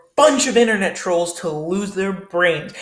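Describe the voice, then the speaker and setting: With audible room echo, a man speaks at a fairly slow pace in a high pitch. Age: young. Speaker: film review youtuber. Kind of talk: casual monologue.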